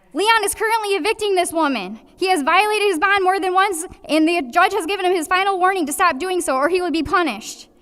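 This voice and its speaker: The speech runs at a very fast pace with hardly any pauses and ordinary pitch variation. Noticeable background noise sits behind it. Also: woman, extremely high pitch for a woman. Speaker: public commenter at city council meeting. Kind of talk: public comment. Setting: city council meeting.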